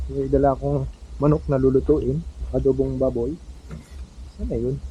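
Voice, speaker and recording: A man speaks at a moderate pace. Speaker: farmer vlogger. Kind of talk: casual vlog narration. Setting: outdoors on a farm. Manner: loud.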